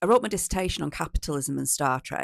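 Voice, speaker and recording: A woman speaks with a northern English accent. The sound is dry and close, with no echo. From northern England, East Lancashire. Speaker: policy consultant. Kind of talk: casual self-introduction to camera.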